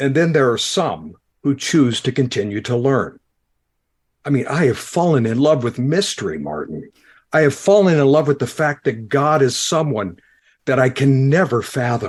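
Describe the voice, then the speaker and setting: A man talks at a moderate pace with lively intonation and medium pitch. It is an ordinary speaking voice over a quiet background. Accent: American. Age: 60s. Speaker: former pastor, podcaster. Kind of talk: podcast interview.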